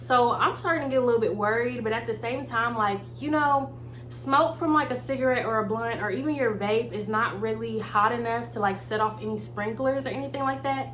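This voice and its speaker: A woman talks at a fairly quick pace with hardly any pauses. Noticeable background noise runs underneath. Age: 20s. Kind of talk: casual storytime talk to camera. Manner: casual, chatty.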